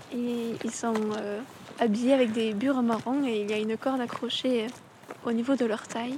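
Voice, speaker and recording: Noticeable background noise sits behind a woman's fairly high voice as she speaks at a moderate pace with monotone, flat intonation. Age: 20s. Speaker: agricultural school student. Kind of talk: reflective monologue. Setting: outdoors.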